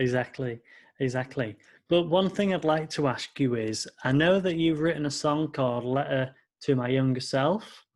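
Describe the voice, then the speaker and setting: A man with a British accent speaks at a fairly high pitch. His pace is moderate, and the background is quiet. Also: ordinary pitch variation. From Britain. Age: 20s. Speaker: podcast host and music producer. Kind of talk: interview.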